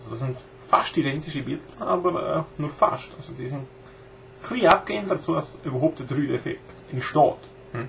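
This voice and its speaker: Against noticeable background noise, a man talks at a moderate pace and fairly high pitch, with ordinary pitch variation and big swings in loudness. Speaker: video blogger. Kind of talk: casual tutorial talk to camera. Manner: hesitant, many filler sounds. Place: home room. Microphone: webcam.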